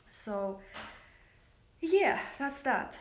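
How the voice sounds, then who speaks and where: Very slow speech in a Russian accent with audible room echo. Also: woman. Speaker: makeup company founder. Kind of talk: livestream monologue. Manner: hesitant, many fillers.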